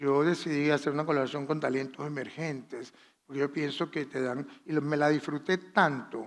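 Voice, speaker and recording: A man with a fairly high pitch speaks at a moderate pace, keeping his intonation fairly even. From Venezuela, Valera. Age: 60s. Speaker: fashion designer. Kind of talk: masterclass talk.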